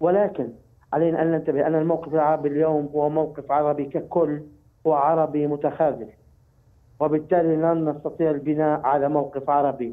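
A man talks at a moderate pace in a flat, monotone delivery against a quiet background. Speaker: political analyst. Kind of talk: interview answer. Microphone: phone line.

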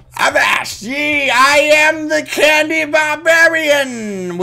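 Over light background noise, a put-on character voice speaks very slowly in a high pitch with a playful tone. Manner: swashbuckling, playful.

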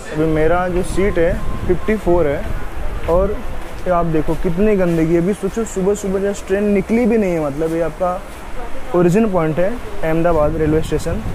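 Against noticeable background noise, a man speaks at a fairly slow pace with fairly even intonation, the sound dry with no echo. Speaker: travel vlogger. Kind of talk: casual vlog chat. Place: train. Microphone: phone near.

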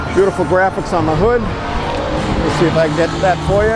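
Clear music plays in the background of a dry recording with no echo. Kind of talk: casual vlog commentary. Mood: enthusiastic, admiring. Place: street. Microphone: phone near.

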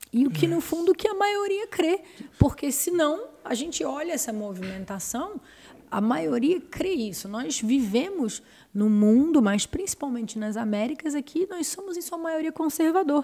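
The voice has a dark, mellow tone and very wide pitch swings, moving at a fairly slow pace. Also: woman, high pitch for a woman. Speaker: podcast host. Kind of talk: casual interview. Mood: earnest, grateful. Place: studio. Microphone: studio mic.

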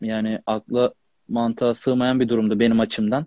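A man's dark, mellow voice at a fairly quick pace, monotone and flat in intonation, with a dry sound with no echo and a quiet background. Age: 30s. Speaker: professional footballer; guest. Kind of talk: casual interview. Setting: Instagram live video call. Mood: calm, somewhat aggrieved. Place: home room. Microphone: unstable internet connection; earbuds.

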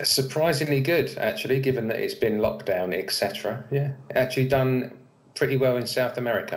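A somewhat breathy man talks at a fairly quick pace with ordinary pitch variation. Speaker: interviewee. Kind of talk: interview answer. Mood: relaxed, friendly. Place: home room. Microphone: webcam.

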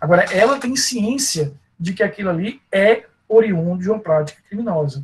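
A man's high-pitched voice with lively intonation. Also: moderate pace. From Brazil. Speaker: law professor; law lecturer. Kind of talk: online lecture. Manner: halting, with frequent fillers. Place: home room. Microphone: earbuds.

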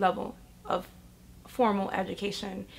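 A woman is speaking here. She has a New York accent. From Bronx, New York. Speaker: educator and community organizer. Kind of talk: interview answer. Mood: earnest, reflective. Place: home room.

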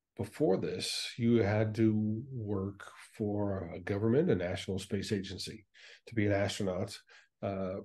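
A somewhat breathy voice moves at a fairly slow pace, its intonation fairly even. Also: man, fairly low pitch for a man. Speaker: guest. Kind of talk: interview answer. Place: home room. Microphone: video call.

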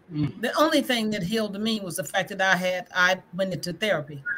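With an American accent, a woman speaks at a fairly quick pace and medium pitch. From Greenwood, Mississippi; Mississippi. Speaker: school board candidate; guest, candidate. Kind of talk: livestream panel discussion. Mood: earnest, personal. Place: home room.

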